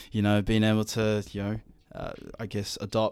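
A dark, mellow tone at a moderate pace, monotone and flat, in a very clean recording with a silent background. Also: man. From New Zealand, South Auckland. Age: 20s. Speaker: digital marketer and DJ. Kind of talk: casual chat. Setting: home studio.

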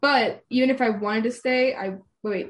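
A woman's somewhat breathy voice carries ordinary pitch variation. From Arizona, US (raised there). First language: non-English home language. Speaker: university student and student teacher. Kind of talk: casual chat.

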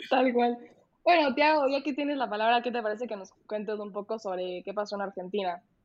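Her voice is an unremarkable speaking voice, fairly high for a woman, moving at a fairly quick pace with ordinary pitch variation. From Ecuador. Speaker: political science student. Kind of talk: casual panel discussion.

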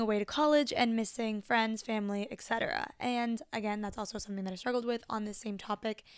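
A woman talks at a very fast pace with hardly any pauses. Her intonation stays fairly even. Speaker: podcast host. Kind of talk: solo podcast monologue giving advice. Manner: fast talker, casual.

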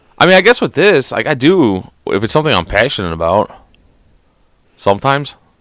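Over a silent background in a very clean recording, a man with an American accent talks at a fairly quick pace with vocal fry, a fairly high pitch, very wide pitch swings and long, frequent pauses. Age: 30s. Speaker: podcast host. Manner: loud.

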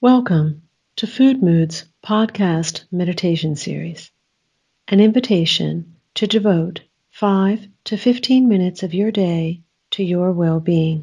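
A woman's somewhat breathy voice at a medium pitch, dark and mellow, calm and soothing in tone, at a very slow pace. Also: ordinary pitch variation. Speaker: guided meditation host. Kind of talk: guided meditation. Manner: slow, calm, soothing; gentle, unhurried, with long pauses.

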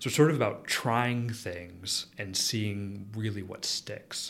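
Speaking at a fairly slow pace, a man with an American accent has a fairly low pitch and an ordinary speaking voice. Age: 30s. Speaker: chemistry professor. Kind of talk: interview.

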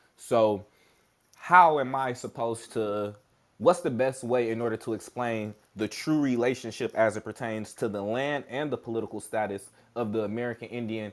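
The recording is very clean, with a silent background. A man talks at a moderate pace in an ordinary speaking voice of medium pitch. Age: 30s. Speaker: podcast host. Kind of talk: interview; reading aloud. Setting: live audio room.

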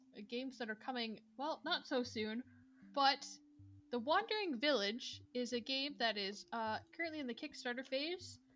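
Music plays in the background as a woman speaks with high pitch and lively intonation at a moderate pace. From Ontario, Canada. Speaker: podcast co-host, game developer. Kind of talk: casual chat.

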